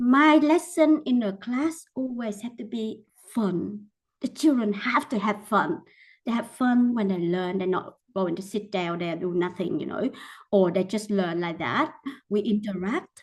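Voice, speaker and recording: Somewhat breathy and at a medium pitch, a woman speaks at a fairly slow pace with lively intonation. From Vietnam. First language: Vietnamese. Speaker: teacher. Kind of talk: mentoring talk.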